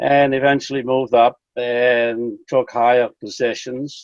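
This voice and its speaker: A man of medium pitch speaks in a monotone, flat way. His pace is fairly slow. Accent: Dutch. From Netherlands. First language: Dutch. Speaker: fraternal lodge official. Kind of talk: interview.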